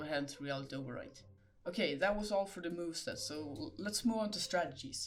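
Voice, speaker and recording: With a non-native accent, a man talks at a fairly quick pace in a high pitch, his intonation lively. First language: not English. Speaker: gaming video creator. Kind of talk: game guide narration.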